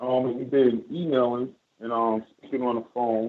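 A man speaks at a very slow pace. He has an American accent. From New York. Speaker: caller. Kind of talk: call-in question.

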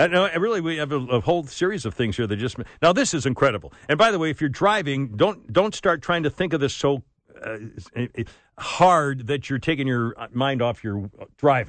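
A man with a plain, everyday voice, lively intonation and a fairly quick pace. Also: fairly high pitch for a man. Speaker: radio talk show host. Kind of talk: radio dj patter. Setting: studio.

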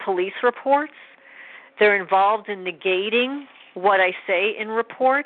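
A woman speaks fairly slowly at a medium pitch with ordinary pitch variation, an unremarkable speaking voice. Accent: American. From New York. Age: 50s. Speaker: animal rescuer. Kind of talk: testimony.

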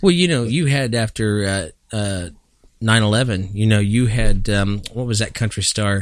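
A man speaks at a fairly slow pace in an unremarkable speaking voice, with ordinary pitch variation. The recording is very clean, with a silent background. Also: fairly low pitch for a man. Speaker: podcast host. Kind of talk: casual chat. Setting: studio.

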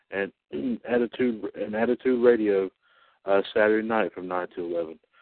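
Here is a man speaking. He has an unremarkable speaking voice. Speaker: radio announcer. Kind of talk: radio station announcement, read as a formal, scripted broadcast bulletin. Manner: formal, measured, professional announcer cadence with slight stumbles and fillers; upbeat sign-off and rattling off the weekly schedule.

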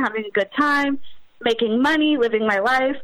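A woman speaks with an American accent at a fairly quick pace, her pitch high with ordinary variation. Noticeable background noise runs under the recording. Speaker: online content creator. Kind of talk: casual interview.

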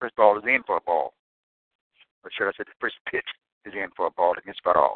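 At a fairly quick pace, a man speaks with big swings in loudness. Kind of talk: live baseball play-by-play commentary. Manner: quick, halting play-by-play, self-correcting on counts.

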